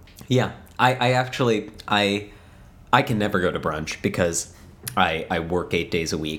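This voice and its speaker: A man with an ordinary speaking voice talks at a moderate pace, with fairly low pitch and ordinary pitch variation. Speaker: podcast co-host. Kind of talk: casual banter. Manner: joking, playful.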